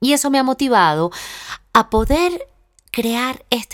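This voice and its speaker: A woman's voice comes through with a dry, close sound and no echo. The recording is very clean, with a silent background. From Venezuela. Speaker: podcast host and actress. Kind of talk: personal monologue.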